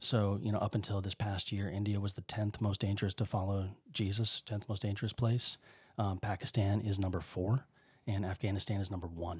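A somewhat breathy voice in monotone, flat intonation, with a dry, close sound with no echo on a very clean recording with a silent background. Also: man, fairly low pitch for a man, fairly quick pace. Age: 30s. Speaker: missionary. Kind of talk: casual chat. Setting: studio.

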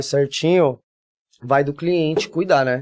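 A man's unremarkable speaking voice, fairly high in pitch, at a fairly slow pace with fairly even intonation. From São Paulo city, Brazil. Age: 40s. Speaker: body piercer and body modifier. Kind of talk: casual interview chat.

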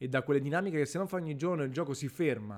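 Over a very clean recording with a silent background, a man with a fairly high pitch and lively intonation speaks in an unremarkable speaking voice. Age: 30s. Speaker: gaming podcaster. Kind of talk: casual monologue.

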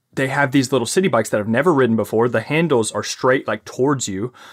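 Heard in a dry, close sound with no echo, a man talks at medium pitch. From US South. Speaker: podcast host and fitness coach. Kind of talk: casual interview. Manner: halting, many repetitions.

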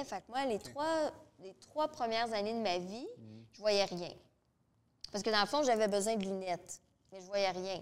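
With a Quebec accent, a woman speaks at a moderate pace in a medium pitch and lively intonation. Her loudness swings widely, and she takes long, frequent pauses. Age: 30s. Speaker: domestic violence counselor and radio co-host. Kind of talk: casual interview. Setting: studio with live audience.

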